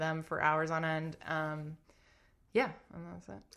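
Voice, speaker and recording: A woman with an American accent, very deep and low in pitch yet bright and sharp in tone, on a very clean recording with a silent background. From Massachusetts, Boston suburbs. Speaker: comedy writer. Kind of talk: casual interview.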